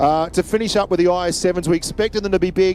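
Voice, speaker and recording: Very fast speech from a man with an Australian accent, fairly high in pitch, with music in the background. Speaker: esports caster. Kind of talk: live commentary. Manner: loud; animated.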